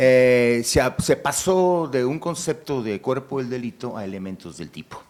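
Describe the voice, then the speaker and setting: Over a very clean recording with a silent background, a man at medium pitch speaks fairly slowly, his pitch swinging very widely. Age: 60s. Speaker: job applicant, lawyer. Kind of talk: job interview. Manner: halting; formal.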